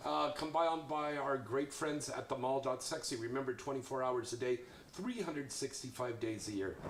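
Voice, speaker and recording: A man's voice amid noticeable background noise. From New York City (Queens). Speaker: talk show host. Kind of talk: casual chat.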